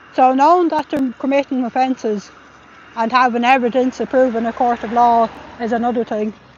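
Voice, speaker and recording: Someone with an Irish accent talks at a fairly quick pace amid noticeable background noise. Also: woman. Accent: Irish, viewers remark on it. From Ireland. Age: middle-aged. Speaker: livestreamer and protester. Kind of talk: live stream commentary.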